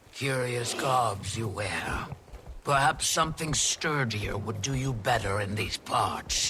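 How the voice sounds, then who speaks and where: A put-on character voice at a fairly slow pace, with clear background noise. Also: man, medium pitch for a man. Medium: game stream. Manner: calm, firm.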